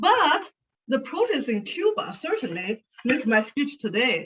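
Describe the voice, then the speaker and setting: Speaking at a fairly slow pace, a woman with a Chinese accent makes very wide pitch swings. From China (Sichuan). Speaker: speaker, education consultant. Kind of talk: speech to an audience.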